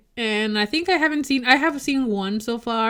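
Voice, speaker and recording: A woman speaks with a Mexican accent and lively intonation. The recording is very clean, with a silent background. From Mexico. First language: Spanish. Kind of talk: casual chat.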